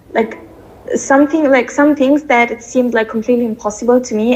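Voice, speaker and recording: At a fairly quick pace, a woman with a non-native accent speaks in a high pitch with fairly even intonation. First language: not English. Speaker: coaching client. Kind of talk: testimony voice note. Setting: recorded voice note.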